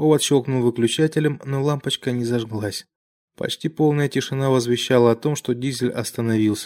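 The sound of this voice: An unforced reading voice over a quiet background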